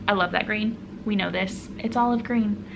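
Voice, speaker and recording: Speaking with a somewhat breathy, medium-pitched voice and ordinary pitch variation, a woman is heard with audible room echo. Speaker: knitting and crochet podcaster. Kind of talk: casual solo vlog talk.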